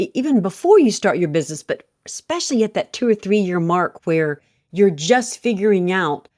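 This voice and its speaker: A woman of medium pitch with lively intonation, on a very clean recording with a silent background and a dry, close sound without echo. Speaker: podcast host and bookkeeping coach. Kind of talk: interview podcast conversation. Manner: fast; halting, many repetitions.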